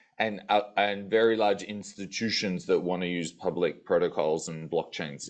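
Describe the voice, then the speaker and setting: A man with an Australian accent and a fairly low pitch at a moderate pace against a quiet background. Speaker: tech company sales executive. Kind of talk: panel discussion.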